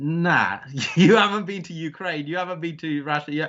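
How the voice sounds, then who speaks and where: A fairly high-pitched man with a British accent at a fairly quick pace. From England. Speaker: adventure travel business owner. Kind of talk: interview. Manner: halting.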